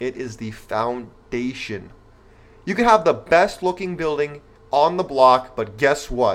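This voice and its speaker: A man's unremarkable speaking voice with an American accent, fairly high in pitch and fairly slow. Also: lively intonation. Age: 20s. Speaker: podcast host. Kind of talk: pep talk; casual monologue to listeners. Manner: earnest, motivational, direct address to men.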